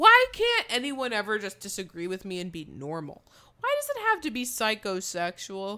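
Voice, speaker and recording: At a moderate pace, a woman talks with big swings in loudness. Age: 20s. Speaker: podcast co-host. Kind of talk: casual chat.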